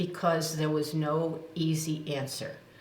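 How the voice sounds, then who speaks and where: With a very deep, low pitch, a woman speaks at a fairly slow pace amid audible room echo. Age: 80s+. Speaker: nonprofit executive and ethics center founder. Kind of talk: interview.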